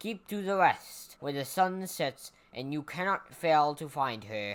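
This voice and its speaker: Someone puts on a character voice at a middle pitch. The pace is fairly slow. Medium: read story.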